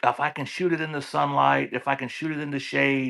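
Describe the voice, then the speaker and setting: Against a quiet background, a man speaks at a moderate pace with a fairly high pitch. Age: 60s. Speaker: gun enthusiast. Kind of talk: casual chat.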